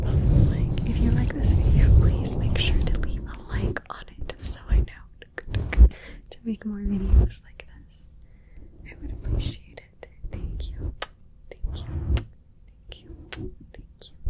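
Over loud background noise, a woman talks at a fairly slow pace with long, frequent pauses. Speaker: ASMR creator. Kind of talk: soft ASMR intro chat. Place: home room. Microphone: studio mic.

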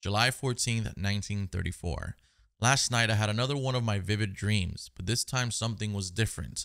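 Over a quiet background, a man with a fairly low pitch speaks at a moderate pace with ordinary pitch variation. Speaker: gaming YouTuber. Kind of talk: gameplay commentary. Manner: animated. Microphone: headset.

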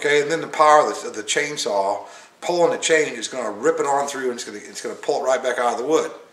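A man talks at a very fast pace with ordinary pitch variation. Room echo is audible. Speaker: hobbyist instructor. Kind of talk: tutorial. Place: workshop. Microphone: camera far.

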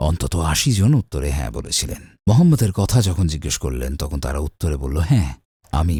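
A man talks with a dark, mellow tone and vocal fry. His pitch swings very widely. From US, Brooklyn, New York. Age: 70s. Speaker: Islamic preacher. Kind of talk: interview, life story.

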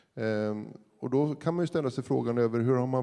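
A man's dark, mellow tone at a fairly quick pace against a quiet background. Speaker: university vice-chancellor, panel moderator; panel moderator. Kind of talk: moderated panel discussion. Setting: stage with audience. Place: hall. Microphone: handheld.

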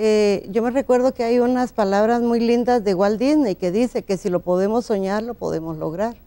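The tone is dark and mellow, with ordinary pitch variation. It moves at a moderate pace with hardly any pauses. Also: woman. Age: 60s. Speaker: law graduate; interview guest. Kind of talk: TV interview. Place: studio. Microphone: lapel.

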